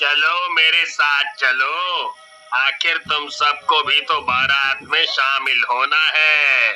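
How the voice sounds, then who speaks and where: Over light background noise, a man uses a cartoonish character voice, pitched fairly high and delivered at a very slow pace. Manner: commanding.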